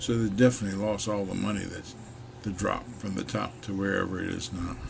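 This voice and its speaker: With an American accent, a man speaks at a fairly low pitch with ordinary pitch variation, and audible room echo is present. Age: 70s. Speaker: video blogger on the economy. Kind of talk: casual monologue.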